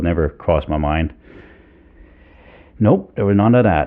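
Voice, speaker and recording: A man's very deep, low voice with a Danish accent. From Denmark. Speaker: fly fishing guide. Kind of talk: interview. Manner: halting, many fillers.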